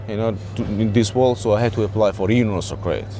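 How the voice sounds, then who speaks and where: Music plays behind a man who talks at a very fast pace. His voice sits fairly low, with ordinary pitch variation. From Georgia (the country). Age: 40s. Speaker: homeless man. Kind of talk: street interview. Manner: halting.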